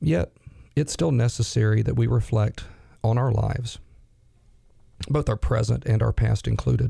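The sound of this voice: A man's raspy, dark, mellow voice at medium pitch, with vocal fry, ordinary pitch variation and a fairly slow pace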